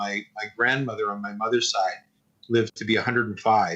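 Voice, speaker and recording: At a fairly quick pace, a man talks in an unremarkable speaking voice at medium pitch. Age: 60s. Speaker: animator and animation teacher. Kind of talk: interview.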